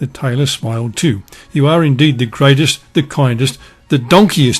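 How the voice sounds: The pitch shifts in an ordinary way as someone uses a natural reading voice.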